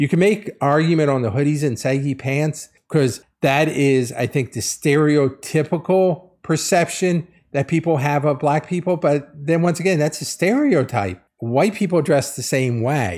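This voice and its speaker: A man with an unremarkable speaking voice talks at a moderate pace with hardly any pauses, in a fairly high pitch with ordinary pitch variation. The recording is very clean, with a silent background. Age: 50s. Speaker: podcast host. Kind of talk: solo commentary podcast.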